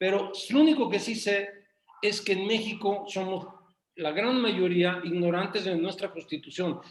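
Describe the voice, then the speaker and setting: Animated in tone, a man with a Mexican accent speaks at a fairly slow pace and a high pitch, with ordinary pitch variation. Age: 60s. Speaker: business association member. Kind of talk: casual chat.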